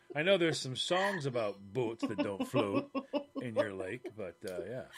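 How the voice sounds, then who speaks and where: Medium-pitched man with very wide pitch swings, at a moderate pace over background music. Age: 50s. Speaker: podcast co-host. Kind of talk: casual chat.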